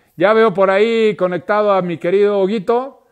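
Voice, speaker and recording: Against a quiet background, a man speaks at a fairly slow pace in a high pitch. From northern Mexico. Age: 40s. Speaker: podcast host. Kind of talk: casual interview chat. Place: home room. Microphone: earbuds.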